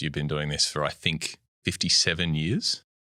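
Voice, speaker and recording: Speaking at a moderate pace, a man has a very deep, low voice with a bright, sharp tone. He has an Australian accent. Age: 30s. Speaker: podcast host and economics journalist. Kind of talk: casual interview chat.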